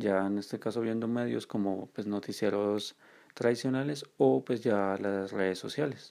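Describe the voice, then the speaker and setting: Fairly low in pitch, a man speaks at a fairly slow pace with ordinary pitch variation. His tone is dark and mellow. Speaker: university student, podcast co-host. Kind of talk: presentation.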